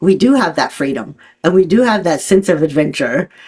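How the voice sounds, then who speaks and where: Using an ordinary speaking voice, a woman talks at a fairly quick pace with lively intonation. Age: 60s. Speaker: podcast host. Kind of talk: interview conversation.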